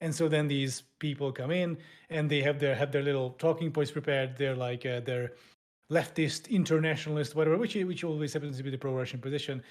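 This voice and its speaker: Very fast speech with a European accent and fairly even intonation, in a very clean recording with a silent background. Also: man, fairly high pitch for a man. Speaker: YouTuber and podcast co-host. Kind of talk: casual podcast discussion.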